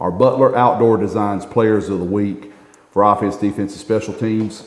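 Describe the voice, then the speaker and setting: A man with a Southern US accent at a fairly low pitch, moderate pace and fairly even intonation, with big swings in loudness and noticeable background noise. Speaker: coaches show host. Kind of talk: casual sports interview.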